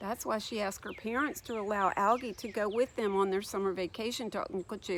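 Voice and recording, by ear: Natural-voiced reading aloud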